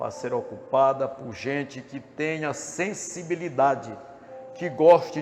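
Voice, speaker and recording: Over noticeable background noise, a man with a fairly high voice talks at a very slow pace, with ordinary pitch variation. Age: 60s. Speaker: politician. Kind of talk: campaign speech. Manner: formal.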